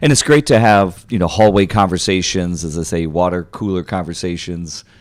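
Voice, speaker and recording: A man talks at a fairly quick pace in a very deep, low voice with ordinary pitch variation. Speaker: podcast co-host. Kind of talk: roundtable podcast discussion. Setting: podcast studio. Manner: loud.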